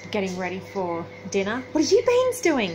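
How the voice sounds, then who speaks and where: Woman with an Australian accent at a moderate pace, amid noticeable background noise. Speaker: travel vlogger. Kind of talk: casual vlog. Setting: holiday rental room. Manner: quiet.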